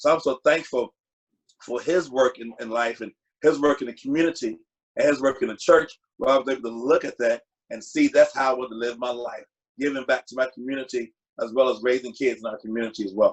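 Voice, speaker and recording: A man with a Virginia accent and a medium pitch talks at a fairly quick pace, his intonation fairly even and his loudness swinging widely. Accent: US South, Virginia. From Virginia, Lynchburg. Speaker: community father figure. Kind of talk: panel interview.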